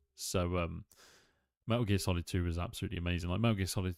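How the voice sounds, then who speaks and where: A man with a British accent and fairly even intonation, dry and close with no echo. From UK. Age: 30s. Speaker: gaming streamer. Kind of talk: casual gaming stream commentary. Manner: casual, hesitant with fillers.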